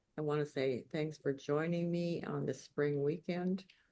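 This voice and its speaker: A woman speaks very slowly in a very deep, low voice. Her tone is dark and mellow. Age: 80s+. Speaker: memoir author. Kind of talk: lecture. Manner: halting.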